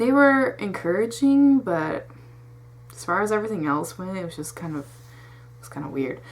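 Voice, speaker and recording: With audible room echo, a woman at a medium pitch talks in an animated tone at a moderate pace, her pitch swinging very widely. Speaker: vlogger giving test tips. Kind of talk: casual talking-head advice vlog. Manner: stutters when off track; rambling, informal, animated.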